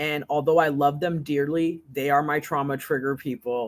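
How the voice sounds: Speaking at a moderate pace, a woman keeps a low pitch and fairly even intonation.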